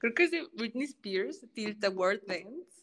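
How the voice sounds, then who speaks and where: With ordinary pitch variation, an ordinary speaking voice proceeds at a fairly slow pace. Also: woman. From Mexico, Tampico, Tamaulipas. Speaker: opera singer, soprano. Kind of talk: casual interview chat.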